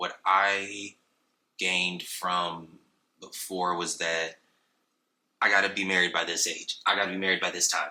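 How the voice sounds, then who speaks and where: A man with an American accent speaks at a fairly slow pace in a very deep, low voice, his intonation flat and monotone, his tone bright and sharp, with long, frequent pauses. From San Diego, California. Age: 20s. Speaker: operations manager and photographer, podcast guest. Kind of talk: casual chat.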